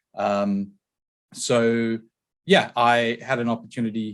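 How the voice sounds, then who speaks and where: Against a quiet background, a man with a South African accent speaks at a very slow pace and medium pitch. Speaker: tech company founder and CEO. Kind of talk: podcast interview.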